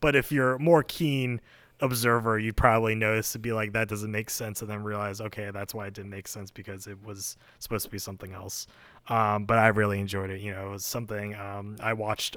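A man's unremarkable speaking voice, fairly low in pitch, at a fairly quick pace with fairly even intonation and big swings in loudness. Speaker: podcast co-host. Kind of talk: casual chat.

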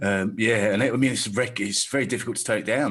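A man with a southern English accent speaks very fast at a fairly low pitch, his intonation fairly even. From south-east England (Staines). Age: 40s. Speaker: stand-up comedian and club promoter. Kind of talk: casual chat.

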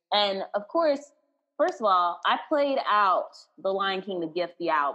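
Speaking fairly slowly with a Texas accent, a woman uses a medium pitch and very wide pitch swings. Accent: Southern US, Texas twang. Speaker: podcast host, singer and actor. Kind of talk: casual chat, podcast film review. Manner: animated, excitable.

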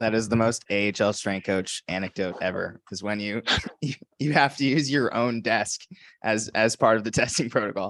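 Recorded with a dry, close sound with no echo against a quiet background, a man with a plain, everyday voice speaks at a medium pitch and moderate pace with ordinary pitch variation. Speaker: podcast host. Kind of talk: casual interview chat.

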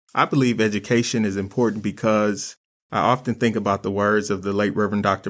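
Talking at a fairly quick pace with an American accent, a man uses a normal speaking voice at a fairly low pitch, captured in a very clean recording with a silent background. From Flint, Michigan, US. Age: young. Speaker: youth development coordinator and nonprofit founder. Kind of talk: panel discussion.

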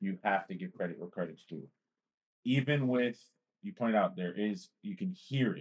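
A man with an American accent speaks at a moderate pace, his medium-pitched voice swinging very widely in pitch. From US East Coast. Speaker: podcast guest. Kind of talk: casual chat.

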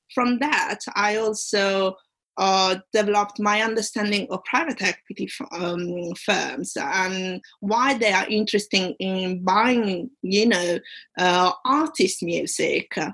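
In an Italian accent, a woman talks at a very slow pace. Her medium pitch shows ordinary variation. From Italy. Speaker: commercial awareness competition finalist, aspiring solicitor. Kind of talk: interview. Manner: halting.

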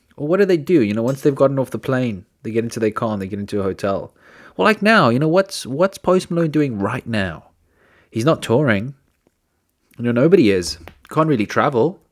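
A man speaks loudly at a fairly quick pace, his medium pitch making very wide swings. The recording is very clean with a silent background. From South Africa. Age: 20s. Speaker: podcast host. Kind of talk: casual chat. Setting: studio.

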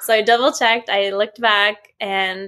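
A bright, sharp tone in a western Canadian accent, with ordinary pitch variation and a fairly slow pace. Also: woman. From Vancouver, Canada. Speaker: podcast host and spiritual medium. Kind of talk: casual chat.

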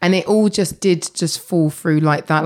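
The recording is very clean, with a silent background. A woman speaks at a moderate pace. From Essex, England. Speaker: shop owner and entrepreneur. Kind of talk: interview.

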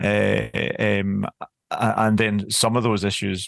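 Vocal fry runs through this man's voice. Nothing much is heard behind him. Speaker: adoption support project leader. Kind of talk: interview.

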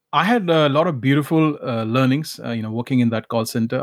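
A fairly high-pitched man with an Indian accent at a fairly quick pace, with ordinary pitch variation, on a very clean recording with a silent background. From Calcutta, India. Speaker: motivational speaker and life coach. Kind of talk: interview conversation.

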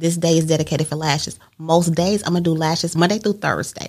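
A woman with an American accent talks at a fairly quick pace. She has an ordinary speaking voice with a fairly low pitch. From Mississippi, then Indiana from age 12. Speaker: entrepreneur and event planner. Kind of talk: casual interview.

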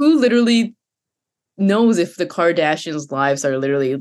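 A woman speaks in a Japanese accent at a moderate pace, her fairly low pitch moving in very wide swings. The background is quiet. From Japan and Canada. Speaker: virtual humans producer. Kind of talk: casual interview chat.

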